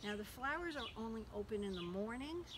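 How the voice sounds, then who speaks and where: Her pitch swinging very widely, a woman speaks over noticeable background noise. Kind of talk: casual garden tour explanation. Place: garden. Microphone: phone near.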